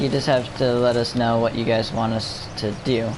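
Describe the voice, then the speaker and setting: A quiet man at medium pitch and a fairly slow pace, with noticeable background noise. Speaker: gaming livestreamer. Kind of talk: casual livestream commentary. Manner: halting.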